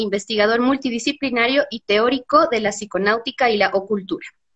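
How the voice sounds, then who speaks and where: Her pitch varies in an ordinary way as a woman speaks at a moderate speed. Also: quiet background. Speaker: interviewer. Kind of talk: interview host introduction. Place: home room. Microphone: video call.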